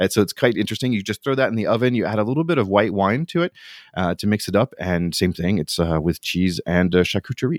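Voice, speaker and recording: The recording is very clean, with a silent background and a dry, close sound with no echo. A man with a fairly low pitch talks at a very fast pace with lively intonation. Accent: American. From United States. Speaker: podcast co-host. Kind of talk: casual chat.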